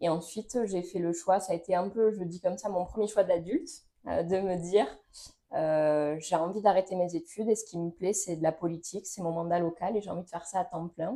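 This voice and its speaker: A woman speaks with fairly even intonation. Her voice has a dark, mellow tone. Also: medium pitch for a woman, fairly quick pace. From Toulouse, southwest France. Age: 20s. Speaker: local politician. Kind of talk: interview. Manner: hesitant, many fillers.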